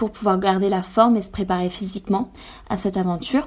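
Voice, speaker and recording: Somewhat breathy, a woman's voice moves along at a fairly quick pace. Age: 20s. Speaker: environmental association co-founder, swimmer. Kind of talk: radio interview. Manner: hesitant, with frequent fillers.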